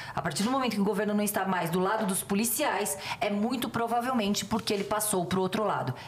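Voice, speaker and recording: A woman talks at a very fast pace with hardly any pauses and very even loudness. Her medium pitch shows ordinary variation, and there is noticeable background noise. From Rio de Janeiro state, Niterói. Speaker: police chief and union president. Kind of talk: casual chat.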